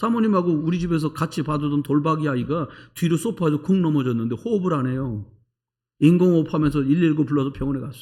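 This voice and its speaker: Very fast and somewhat breathy, a man's fairly high voice carries a dark, mellow tone and ordinary pitch variation in a very clean recording with a silent background. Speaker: pastor. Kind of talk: sermon. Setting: church. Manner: animated.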